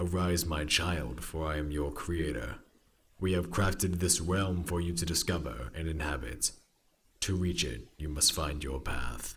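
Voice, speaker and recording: A man's resonant, very deep, low put-on character voice at a moderate pace. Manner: commanding, resonant.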